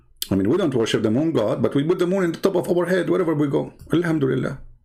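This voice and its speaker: Talking at a very fast pace, a man uses a fairly high pitch with lively intonation and vocal fry. His tone is dark and mellow. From Middle East. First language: Arabic. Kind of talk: commentary on video clips.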